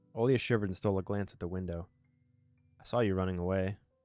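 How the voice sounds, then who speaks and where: Over music in the background, a man talks at a very fast pace with fairly low pitch and fairly even intonation. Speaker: gaming video creator. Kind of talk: let's play reading of a visual novel with commentary. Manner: fast, some stuttering.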